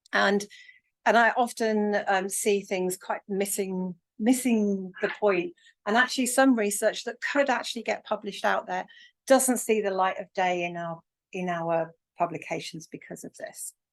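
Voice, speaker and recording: Against a quiet background, a woman with an English accent speaks at a moderate pace, her medium pitch showing ordinary pitch variation. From England. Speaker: academic workshop convener. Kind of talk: lecture. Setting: hybrid workshop with online chat. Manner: hesitant, many ums.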